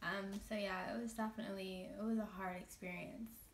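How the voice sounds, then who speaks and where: The voice is somewhat breathy and shaky. It moves at a moderate pace. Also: woman. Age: 20s. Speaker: makeup artist. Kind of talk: casual talk to camera.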